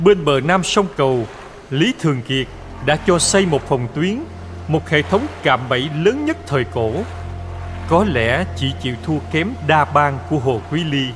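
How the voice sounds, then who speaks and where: Music plays in the background as a man speaks at a very slow pace. His fairly high pitch swings very widely. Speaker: voice director. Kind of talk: history documentary narration.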